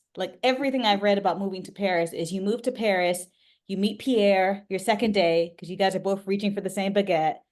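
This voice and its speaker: A plain, everyday voice from a woman, medium in pitch, at a fairly quick pace with fairly even intonation. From US East Coast (New York / DC area). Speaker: memoir author. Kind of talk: interview.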